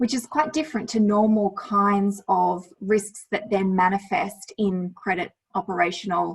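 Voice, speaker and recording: A woman talks at a fairly slow pace in an Australian accent, her voice somewhat breathy. Her pitch is medium, with ordinary variation. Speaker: lawyer presenting on climate risk. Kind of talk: presentation with slides.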